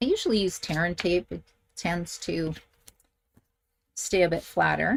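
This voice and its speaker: Here a woman talks in a Canadian accent. She holds a moderate pace with ordinary pitch variation. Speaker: craft instructor. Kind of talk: tutorial. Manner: chatty.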